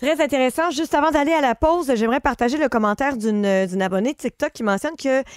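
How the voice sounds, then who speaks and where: A woman speaks at a fairly quick pace with a high pitch and lively intonation, her voice dry with no echo against a quiet background. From Quebec. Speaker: radio host. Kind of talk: radio call-in show. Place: studio.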